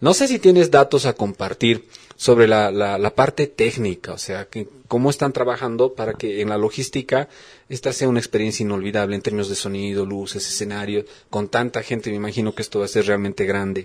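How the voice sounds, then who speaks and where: In a plain, everyday voice, a man speaks at a fairly quick pace with a fairly low pitch and ordinary pitch variation, on a very clean recording with a silent background. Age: 40s. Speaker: radio host. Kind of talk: radio interview.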